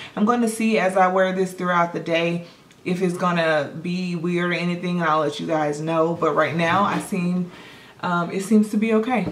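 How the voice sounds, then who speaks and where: Noticeable background noise and audible room echo surround a woman whose fairly low voice moves at a moderate pace with fairly even intonation. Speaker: beauty vlogger. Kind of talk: casual product haul review. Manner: chatty, hesitant.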